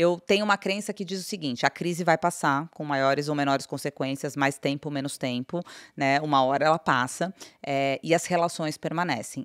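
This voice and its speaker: With a very deep, low pitch, a woman speaks at a moderate pace with ordinary pitch variation, in a dry sound with no echo against a quiet background. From Brazil. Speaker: company CEO; guest. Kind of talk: interview. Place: studio. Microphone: studio mic.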